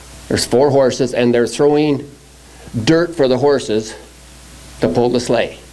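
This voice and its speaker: A man at medium pitch with an American accent, moderate pace, long and frequent pauses and very even loudness, against noticeable background noise. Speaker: log truck driver. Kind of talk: testimony.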